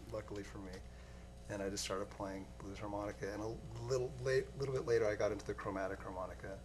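A man with an American accent at a very fast pace, very wide pitch swings and noticeable background noise. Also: fairly low pitch for a man. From US Pacific Northwest, Seattle. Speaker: musician; interview guest. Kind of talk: interview. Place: studio.

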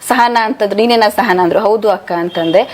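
Noticeable background noise sits behind this woman's voice. She has a medium pitch and ordinary pitch variation. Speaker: devotional chanting group member. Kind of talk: interview testimony.

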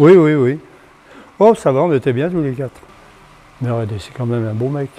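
A man's dark, mellow voice with lively intonation, at a moderate pace. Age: 70s. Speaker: zoo founder. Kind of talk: interview answer. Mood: warm, fond recollection. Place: hall. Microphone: lapel.

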